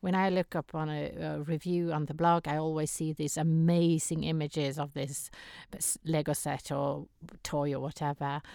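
A woman speaks in a very deep, low voice with flat, monotone intonation. The recording is very clean with a silent background. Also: moderate pace. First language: not English. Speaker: podcast co-host. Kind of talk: casual chat. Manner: laughs often.

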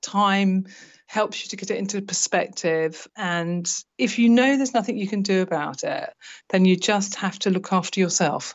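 With a plain, everyday voice, a woman speaks at a moderate pace and medium pitch, with ordinary pitch variation. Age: 50s. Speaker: retired nurse turned teacher, estranged mother. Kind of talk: personal testimony interview.

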